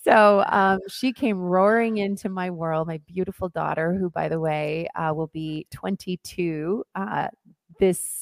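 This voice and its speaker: Speaking fairly slowly with an American accent, a woman has an unremarkable speaking voice with a fairly low pitch and ordinary pitch variation. The sound is dry and close, with no echo. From US Northwest, Oregon. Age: 40s. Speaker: dance teacher and wellness coach. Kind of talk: interview.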